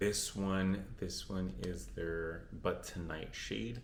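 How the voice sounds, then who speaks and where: Very slowly, a man speaks with a very deep, low pitch. Audible room echo surrounds his voice. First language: Spanish. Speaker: beauty vlogger. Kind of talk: casual chat. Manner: casual, with fillers and restarts.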